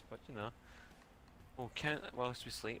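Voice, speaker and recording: A man with a Glaswegian accent, a bright, sharp tone and a moderate pace. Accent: Glaswegian Scottish. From Scotland, Glasgow. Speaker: gaming livestream co-host. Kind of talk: casual chat.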